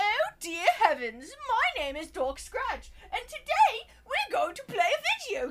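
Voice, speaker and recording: A woman puts on a character voice in a British accent, her pitch extremely high with very wide swings and big jumps in loudness. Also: fairly slow pace. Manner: prissy, theatrical, mocking.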